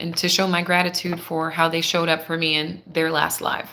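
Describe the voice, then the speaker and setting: Over noticeable background noise, a woman with a fairly low pitch speaks with fairly even intonation. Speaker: tarot reader. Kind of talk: live tarot reading. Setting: live stream. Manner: quiet, holding back volume.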